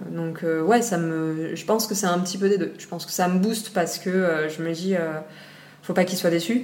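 Audible room echo and noticeable background noise surround a woman speaking at a moderate pace, fairly low in pitch with fairly even intonation. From Réunion Island. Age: 30s. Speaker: marine biology graduate. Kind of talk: interview. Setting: at her home. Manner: hesitant, many fillers.

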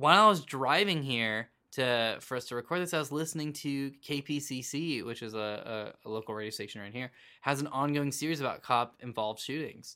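A man with an American accent speaks at a moderate pace in a medium pitch, using ordinary pitch variation. His tone is bright and sharp, and the recording is very clean with a silent background. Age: 20s. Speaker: podcast host. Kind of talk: casual chat.

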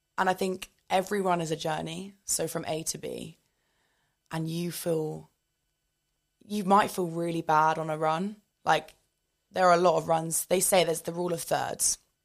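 Fairly low-pitched woman at a moderate pace, with long, frequent pauses, fairly even intonation, and a very clean recording with a silent background. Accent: southern English. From southern England. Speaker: fitness content creator. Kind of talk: casual interview.

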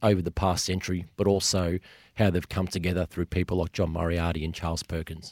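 This man has a very deep, low voice. He talks with an Australian accent. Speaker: author and sports media executive. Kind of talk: interview discussion.

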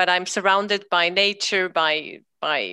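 Bright and sharp in tone, the voice carries a German accent. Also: woman. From Austria. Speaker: emotional intelligence coach. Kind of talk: interview. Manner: halting.

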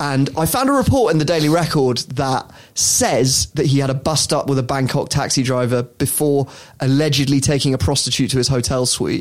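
A man talks with an unremarkable speaking voice at a fairly high pitch and a fairly quick pace. His loudness stays very even and his intonation fairly even. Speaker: podcast host. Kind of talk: casual chat, comedic podcast banter.

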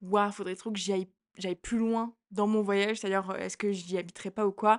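In a quiet setting with a dry, close sound and no echo, a woman with an unremarkable speaking voice talks at a medium pitch with fairly even intonation. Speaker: podcast co-host, student. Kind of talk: casual chat.

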